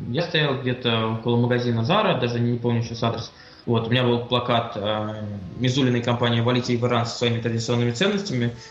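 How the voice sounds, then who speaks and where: Noticeable background noise and audible room echo surround this man. He talks very fast at a medium pitch with fairly even intonation. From Russia, Saint Petersburg. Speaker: LGBT rights activist, student. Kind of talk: interview.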